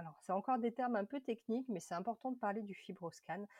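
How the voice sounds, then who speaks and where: Her pitch sits fairly high for a woman. A somewhat breathy quality comes through as she talks. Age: 30s. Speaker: patient advocate, former liver disease patient. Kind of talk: testimony.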